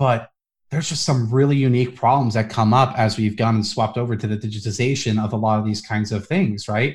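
A man with an American accent at a very fast pace, medium in pitch and somewhat breathy, with fairly even intonation, in a very clean recording with a silent background. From New Jersey and New York. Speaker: policy analyst. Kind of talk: casual interview.

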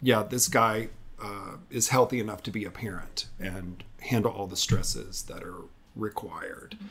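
A man with an unremarkable speaking voice talks at a medium pitch and a fairly slow pace. The recording is very clean, with a silent background. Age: 40s. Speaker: architect and adoptive father. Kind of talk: interview.

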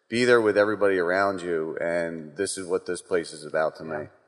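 A man with an unremarkable speaking voice talks at a moderate pace. His pitch is fairly low. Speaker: congregation member on panel. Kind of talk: casual chat.

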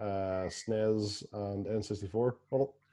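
This man has a Northern Irish accent. His pitch is fairly low, with monotone, flat intonation. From Belfast, Northern Ireland. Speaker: podcast host. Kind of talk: casual chat.

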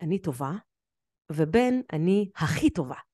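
Her voice has a dark, mellow tone and a fairly low pitch, with very wide pitch swings. The woman is heard against a quiet background. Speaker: emotional therapist and podcast host. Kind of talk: solo podcast monologue.

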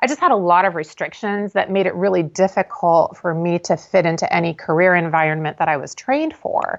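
Against a quiet background, a woman with a fairly low pitch uses a normal speaking voice with ordinary pitch variation. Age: 50s. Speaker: intuitive reader and business owner. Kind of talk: podcast interview.

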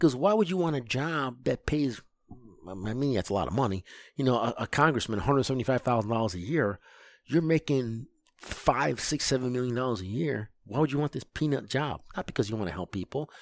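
A man with a Midwestern American accent at medium pitch and a fairly quick pace, lively in intonation, on a very clean recording with a silent background and a dry, close sound with no echo. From US Midwest, Lansing, Michigan. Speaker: project manager. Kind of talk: casual chat.

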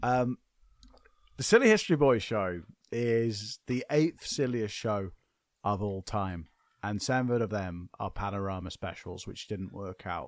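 With no echo and a silent background, this very clean recording has a dry, close sound. A man speaks at a fairly low pitch and a fairly slow pace, with ordinary pitch variation. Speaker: podcast host. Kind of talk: casual chat. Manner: animated.

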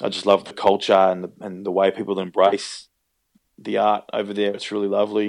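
A man with an Australian accent talks at a fairly quick pace. His intonation is monotone and flat. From Melbourne, Australia. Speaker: actor. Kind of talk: casual chat. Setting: phone call.

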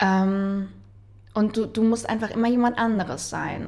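At a fairly slow pace, a woman speaks in a somewhat breathy voice at medium pitch. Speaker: wedding officiant and actress. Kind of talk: casual chat.

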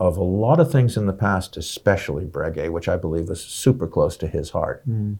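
A man has a fairly low pitch and a dark, mellow tone. The recording is very clean, with a silent background. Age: 60s. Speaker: watch journalist and collector. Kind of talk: casual interview.

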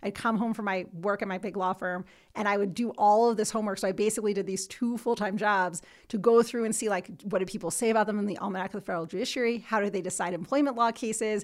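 A woman with a New Jersey accent and a medium-pitched voice, talking very fast with fairly even intonation, on a very clean recording over a silent background. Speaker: civil rights lawyer. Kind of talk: casual interview. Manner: fast talker; loud, assertive.

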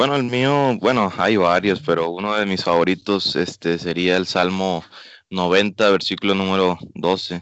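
A man with a very deep, low pitch talks at a fairly slow pace, keeping his loudness very even and his pitch variation ordinary. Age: 20s. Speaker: missionary. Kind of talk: radio interview.

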